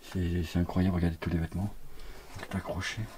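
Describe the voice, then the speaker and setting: A man speaks very fast in a soft-spoken way. His pitch sits fairly low. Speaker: urbex youtuber. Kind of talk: walkthrough vlog narration.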